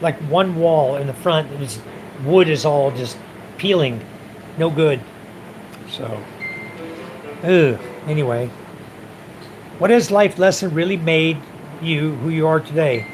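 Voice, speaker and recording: Someone with an American accent speaks at a fairly slow pace, leaving long, frequent pauses. Pitch varies in an ordinary way against noticeable background noise. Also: man, fairly high pitch for a man. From US, California. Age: 60s. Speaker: expat livestreamer. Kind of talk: casual livestream chat.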